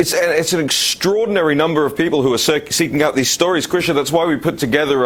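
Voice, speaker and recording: Over noticeable background noise, a man with a London accent talks in a fairly high pitch. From London, England. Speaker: political talk show host. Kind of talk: political talk show. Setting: studio.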